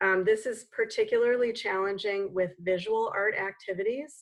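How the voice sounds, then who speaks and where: A woman with an ordinary speaking voice keeps a moderate pace and fairly even intonation. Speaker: nonprofit program leader, conference presenter. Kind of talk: conference presentation.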